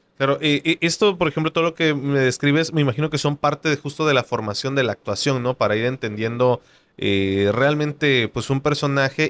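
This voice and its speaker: With a Mexican accent, a man talks at a fairly quick pace with hardly any pauses, fairly high pitch, ordinary pitch variation and very even loudness, in a dry, close sound with no echo. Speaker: podcast host. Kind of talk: interview conversation. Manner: hesitant, many fillers.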